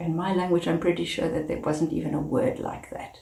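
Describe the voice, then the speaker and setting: A woman speaks in a South African accent, with audible room echo around her voice. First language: Afrikaans. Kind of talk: advocacy talk to camera.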